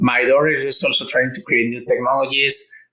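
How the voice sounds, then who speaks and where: This is a man's voice. He speaks with a Mexican accent. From Mexico. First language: Spanish. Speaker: engineer and entrepreneur. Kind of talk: interview. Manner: halting, with fillers and repetitions.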